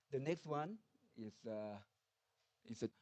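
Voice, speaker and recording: Recorded dry and close with no echo, a man with a Thai accent speaks at a moderate pace. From Thailand. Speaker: nuclear research institute director. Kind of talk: conference presentation. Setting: conference hall with audience. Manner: halting, many fillers.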